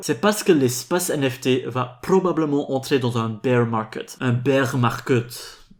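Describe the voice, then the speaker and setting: Speaking with a non-native accent, a man uses lively intonation at a fairly high pitch. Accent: foreign accent in French. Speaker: crypto YouTuber. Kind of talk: scripted video commentary.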